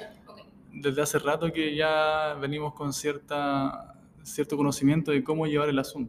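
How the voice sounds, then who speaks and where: A man speaks at a moderate pace. His pitch is fairly high. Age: 20s. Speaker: physiotherapist and father. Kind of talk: interview. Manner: reserved, not very expressive.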